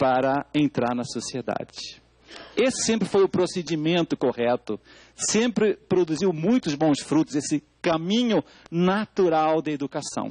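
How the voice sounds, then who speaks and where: A man's fairly slow, lively speech at fairly high pitch in a European Portuguese accent, dry and close with no echo. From Portugal. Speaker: educator, expert speaker at public hearing. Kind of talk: testimony at parliamentary public hearing.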